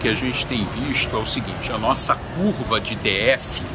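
At a fairly slow pace, a man talks while noticeable background noise is present. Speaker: hospital medical director, admiral. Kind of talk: interview answer. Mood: calm, measured. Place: street. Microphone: phone near.

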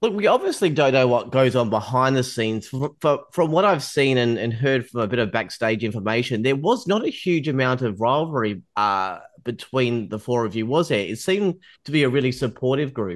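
With an Australian accent, a man talks at a fairly quick pace. His medium-pitched voice carries lively intonation. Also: hardly any pauses, quiet background. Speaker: podcast host, TV news journalist. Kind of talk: interview.

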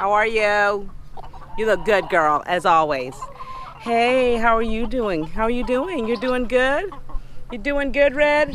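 An extremely high-pitched man at a fairly slow pace, lively intonation, long and frequent pauses, a dry sound with no echo, and light background noise. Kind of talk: casual vlog chat. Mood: cheerful, playful. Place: farm machine. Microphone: phone near.

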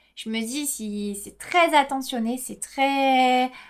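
A woman speaks at a high pitch against a quiet background. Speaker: knitting podcaster. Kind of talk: casual monologue. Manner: hesitant, many filler words. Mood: warm, enthusiastic. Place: home room.

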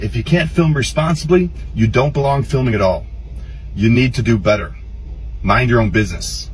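Faint music plays in the background. A man speaks at a fairly quick pace. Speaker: social media commentator. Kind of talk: commentary. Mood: stern, lecturing. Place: car. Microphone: phone near.

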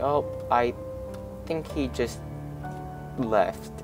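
Music plays in the background as a man talks at a very slow pace. His pitch swings very widely. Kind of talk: casual gaming commentary.

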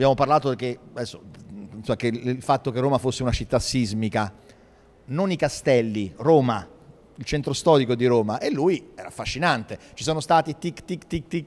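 With long, frequent pauses and big swings in loudness, a man speaks at a moderate pace with ordinary pitch variation. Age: 50s. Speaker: historian and city culture official; speaker. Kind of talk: panel discussion. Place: hall. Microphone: handheld.

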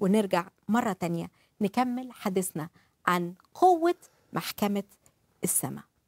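A woman's medium-pitched voice in an Egyptian accent, dry and free of echo. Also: quiet background. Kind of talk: religious talk show with live interpretation. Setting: studio. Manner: animated. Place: studio. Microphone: lapel.

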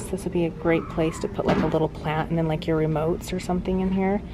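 Over clear background music, a woman speaks at a fairly low pitch. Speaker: home vlogger. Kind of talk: casual vlog chat. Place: shop. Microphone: phone near.

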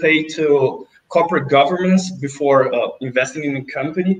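With a Portuguese accent, a man speaks at a high pitch and a moderate pace. His intonation is lively. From Brazil. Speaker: investment interviewer. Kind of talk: interview. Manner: halting. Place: office.

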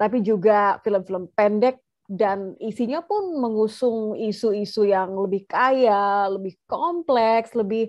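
Here a woman speaks with ordinary pitch variation. The background is quiet. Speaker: event host moderator. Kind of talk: host introduction. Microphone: webcam.

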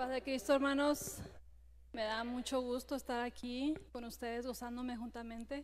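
A woman's high, flat monotone at a moderate pace. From Mexico, Sinaloa. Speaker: churchgoer. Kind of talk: church greeting. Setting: church. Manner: halting.

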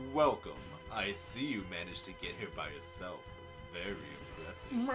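Over loud background music, a man performs in a put-on character voice. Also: moderate pace. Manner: theatrical, menacing.

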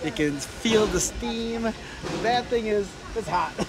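A man at a fairly slow pace, ordinary pitch variation, dry sound with no echo, and loud background noise. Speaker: travel vlogger. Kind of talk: casual vlog chat. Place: open country. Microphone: phone near.

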